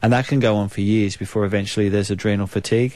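Speaking very fast in a New Zealand accent, a man keeps a fairly low pitch with monotone, flat intonation. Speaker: naturopath, radio guest. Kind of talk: informal explanatory health advice.

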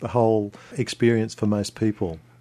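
Someone with an Australian accent speaks at a fairly slow pace. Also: man. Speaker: radio travel presenter. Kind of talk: radio interview. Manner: hesitant, repeats words.

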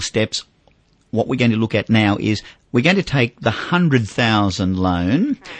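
A man with an Australian accent talks at a fairly slow pace in a fairly low voice. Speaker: finance radio host. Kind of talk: radio talkback.

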